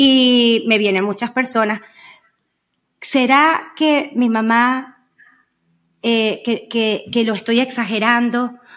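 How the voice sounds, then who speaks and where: A woman speaks at a high pitch and a very slow pace. Her pauses are long and frequent. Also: fairly even intonation. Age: 50s. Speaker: podcast co-host. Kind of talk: casual chat.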